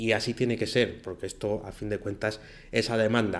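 A man talks at a fairly quick pace. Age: 40s. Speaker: podcast host, freelance web developer. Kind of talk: solo podcast monologue. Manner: casual, with filler hesitations.

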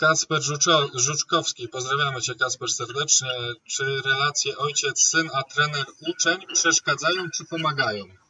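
A man talks at a moderate pace in an ordinary speaking voice. His pitch is fairly high and his intonation fairly even. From Białystok, Poland. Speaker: sports channel host. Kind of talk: live interview.

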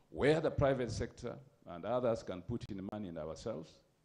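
His intonation sounds lively. The man talks at a fairly quick pace. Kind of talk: formal speech. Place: hall. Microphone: handheld.

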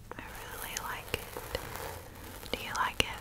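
A woman whispers in a soft-spoken way. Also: moderate pace. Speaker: ASMR creator. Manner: soft ASMR whisper close to mic. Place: home room. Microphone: studio mic.

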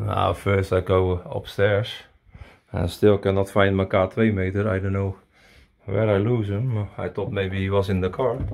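Music plays in the background as a man with a fairly low voice speaks at a moderate pace in a flat monotone. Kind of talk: casual vlog commentary. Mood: curious, surprised. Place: home room. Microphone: phone near.

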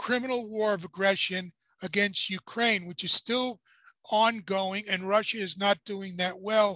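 A man uses a raised, projected voice at a fairly slow pace with fairly even intonation, the sound dry with no echo and the background quiet. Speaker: boxing commentator co-host. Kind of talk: commentary. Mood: critical, indignant. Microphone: video call.

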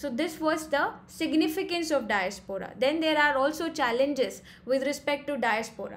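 Speaking at a moderate pace, a woman has a high pitch. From India. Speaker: exam coach; exam prep lecturer. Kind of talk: lecture. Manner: hesitant with frequent fillers. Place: home room. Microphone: webcam.

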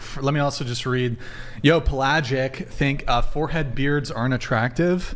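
The pace of this man's speech is moderate. His intonation stays fairly even. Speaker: podcast host and moderator; stream host. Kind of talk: panel debate. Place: studio. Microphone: studio mic.

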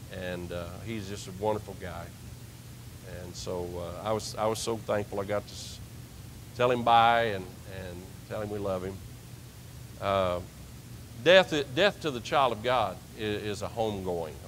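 A man speaks at a moderate pace and fairly low pitch, with ordinary pitch variation. He leaves long, frequent pauses over light background noise. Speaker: preacher. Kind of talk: sermon. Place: church.

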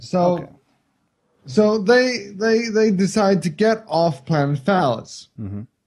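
An Icelandic accent at a moderate pace. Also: man. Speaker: co-host and writer. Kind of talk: casual comedic movie review chat.

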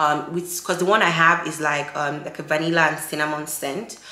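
A woman speaks fairly quickly at a very deep, low pitch. Her intonation is monotone and flat, with audible room echo. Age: 20s. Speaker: lifestyle YouTuber. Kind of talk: vlog narration. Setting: shopping in stores. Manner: casual, chatty. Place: home room.

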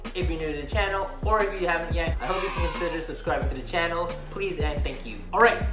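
Clear music sits in the background while a man talks at a very fast pace. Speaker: vlogger. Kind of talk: casual vlog chat. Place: home room. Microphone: phone near.

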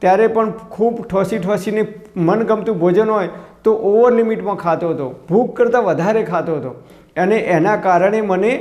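Noticeable background noise and audible room echo accompany a man's high-pitched voice with ordinary pitch variation. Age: 50s. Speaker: health YouTuber. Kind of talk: tutorial.

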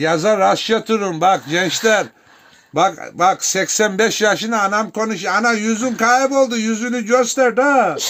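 This man has a high pitch with ordinary variation. He speaks at a fairly slow pace. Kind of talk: casual family chat for camera.

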